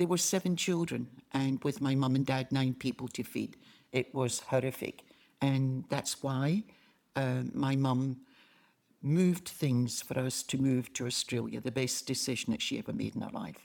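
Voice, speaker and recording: A woman with a Scottish accent speaks in a very deep, low voice with ordinary pitch variation. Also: moderate pace. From Glasgow, Scotland. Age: 80s+. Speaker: retired missionary. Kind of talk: interview testimony. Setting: in-person sit-down interview.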